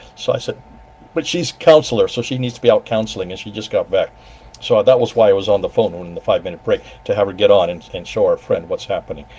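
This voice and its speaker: Speaking very fast, a man lets his volume rise and fall sharply. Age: 70s. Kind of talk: casual chat.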